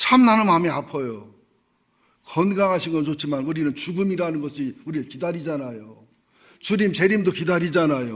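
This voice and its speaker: At a moderate pace, a man with a fairly high pitch uses an ordinary speaking voice and lively intonation. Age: 60s. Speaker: pastor. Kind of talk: sermon. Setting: church. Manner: conversational.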